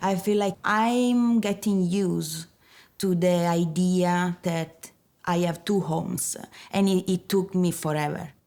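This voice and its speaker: Very slowly and with fairly even intonation, a woman with an Italian accent and a dark, mellow tone speaks at very even loudness in a very clean recording with a silent background. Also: medium pitch for a woman. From northern Italy, near Turin. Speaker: architect. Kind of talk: documentary interview. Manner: halting.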